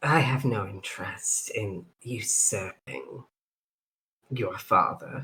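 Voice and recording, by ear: A raspy, put-on character voice from a man, at medium pitch and a very slow pace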